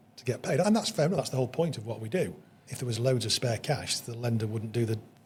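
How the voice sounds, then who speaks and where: Very fast and somewhat breathy, a man at a medium pitch speaks with lively intonation and big swings in loudness. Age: 60s. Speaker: business owner. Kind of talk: casual chat. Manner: halting.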